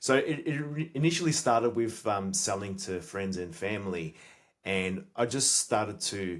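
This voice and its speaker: Moderate pace from a man with an Australian accent, fairly low pitch and very wide pitch swings. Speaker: sales expert and entrepreneur. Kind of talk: podcast interview.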